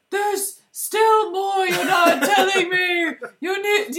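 A put-on character voice, squeaky and extremely high in pitch. It moves at a fairly slow pace. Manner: demanding, pushy.

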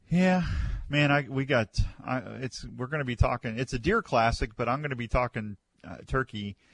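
An unremarkable speaking voice from a man, medium in pitch with ordinary pitch variation, at a moderate pace in a dry, close sound with no echo. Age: 60s. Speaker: radio host. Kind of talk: casual chat. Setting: studio.

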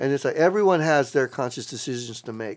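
A man with an American accent at a very fast pace and lively intonation, on a very clean recording with a silent background. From South Texas. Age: 50s. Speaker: street artist. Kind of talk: casual chat. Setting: event space. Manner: halting.

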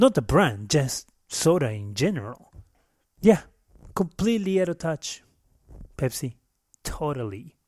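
With long, frequent pauses and a fairly slow pace, a man speaks in a somewhat breathy, fairly high voice with very wide pitch swings, recorded very cleanly against a silent background in dry, close sound with no echo. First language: Spanish. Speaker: comedian and podcast host. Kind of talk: casual comedic monologue. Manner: humorous, self-deprecating.

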